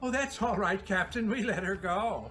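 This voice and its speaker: A put-on character voice at a fairly high pitch talks at a moderate pace. Clear music plays in the background. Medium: stage play.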